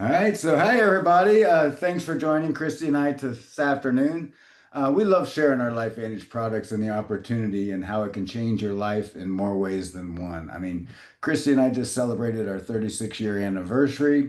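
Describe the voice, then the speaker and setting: Against a quiet background, a man at a medium pitch makes very wide pitch swings. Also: fairly quick pace. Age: 60s. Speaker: network marketing presenter. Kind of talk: business presentation.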